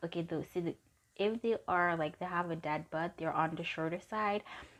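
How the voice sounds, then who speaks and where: Pitched fairly low, a woman speaks with ordinary pitch variation. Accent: non-native. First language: not English. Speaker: tarot reader. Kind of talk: tarot card reading. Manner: casual, halting at times.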